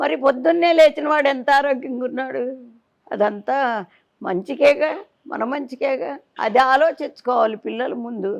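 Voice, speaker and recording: Her voice is high, and the woman's pitch rises and falls in an ordinary way. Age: 80s+. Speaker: temple priest. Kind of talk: interview answer.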